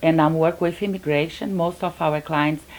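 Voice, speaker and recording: A woman's very deep, low pitch at a moderate pace, with fairly even intonation. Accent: Brazilian. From Brazil. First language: Portuguese. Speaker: business owner. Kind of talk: interview.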